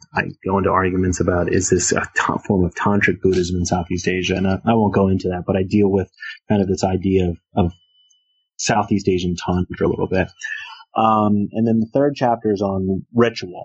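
Speaking at a fairly quick pace with a Philadelphia accent, a man with a very deep, low pitch keeps very even loudness and fairly even intonation. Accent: Philadelphia American English. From US, Philadelphia. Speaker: religious studies professor. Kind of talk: interview. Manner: halting, many fillers.

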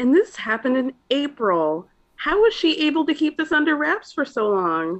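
A woman speaks at a moderate pace with an American accent, her high pitch rising and falling in very wide swings. The background is quiet. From Georgia, US. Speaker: podcast guest, pop culture podcaster. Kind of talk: casual chat.

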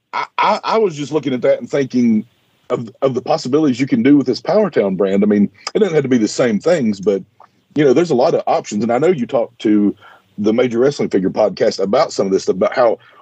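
Talking at a very fast pace, a man with a medium pitch and a dark, mellow tone makes very wide pitch swings, the sound dry and close with no echo. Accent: Appalachian. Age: 40s. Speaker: podcast co-host, action figure expert. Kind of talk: casual interview. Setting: studio.

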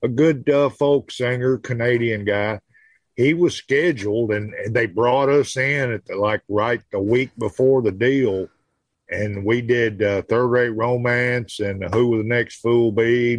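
A man with a Southern US accent, medium pitch and a fairly slow pace, in a dry, close sound with no echo. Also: fairly even intonation. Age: 60s. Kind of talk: casual chat. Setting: video call.

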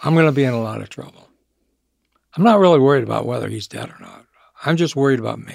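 Speaking at a very fast pace, a man leaves long, frequent pauses, and his loudness swings widely. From Michigan, US. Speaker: recovering alcoholic, business owner. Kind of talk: interview testimony.

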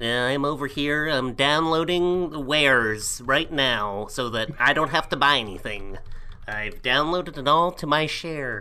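A put-on character voice at a low-to-middle pitch and a fairly slow pace. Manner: comedic audition, mock nerdy.

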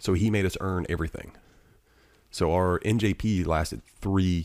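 A man with a Southern US accent speaks in a very deep, low pitch with fairly even intonation at a moderate pace. The recording is very clean, with a silent background. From Alabama. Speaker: retired Marine, wounded veteran. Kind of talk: casual chat. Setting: studio.

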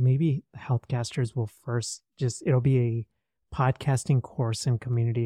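A man with a somewhat breathy voice and a dark, mellow tone speaks at a fairly slow pace with fairly even intonation, in a very clean recording with a silent background and a dry, close sound with no echo. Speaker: psychologist and podcaster. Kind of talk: casual interview chat.

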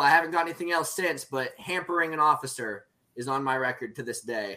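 Speaking very fast with an American accent, a man has a fairly high pitch and a bright, sharp tone. His pitch varies in an ordinary way. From Oklahoma. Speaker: military veteran, libertarian activist. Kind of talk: casual chat.

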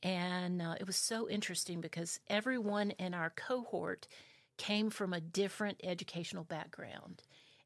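A woman's unremarkable speaking voice, with fairly even intonation and a moderate pace. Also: medium pitch for a woman. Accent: American. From South Carolina. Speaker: orchestra conductor and music teacher. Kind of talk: casual interview. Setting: studio.

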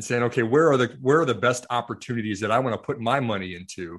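Against a quiet background, a man with an American accent talks at a fairly quick pace in an unremarkable speaking voice, with a medium pitch and ordinary pitch variation. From US Midwest, rural Iowa. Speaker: investment firm CEO. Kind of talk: interview.

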